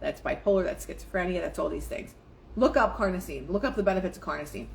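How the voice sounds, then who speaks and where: Animated and very fast, a woman talks over noticeable background noise. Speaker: spiritual life coach livestreamer. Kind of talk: live stream talk on manifesting with reading aloud. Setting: live stream.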